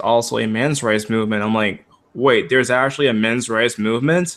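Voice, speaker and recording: A man talks at a very fast pace with an American accent. His pitch is medium and his intonation fairly even. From Maryland, US. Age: 20s. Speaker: YouTuber; conversation guest or host. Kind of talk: casual chat. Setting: video call. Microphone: video call.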